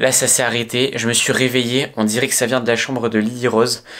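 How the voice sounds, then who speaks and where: Quiet surroundings and a moderate pace. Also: man. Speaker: vlogger. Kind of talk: casual vlog chat, staged suspense. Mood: tense, hushed suspense. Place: home room. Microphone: phone near.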